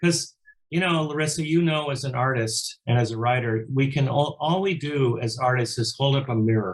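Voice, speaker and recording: Ordinary pitch variation in a somewhat breathy male voice of medium pitch. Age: 70s. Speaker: musician and record producer. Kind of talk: interview. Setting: home studio. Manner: halting, repeats words.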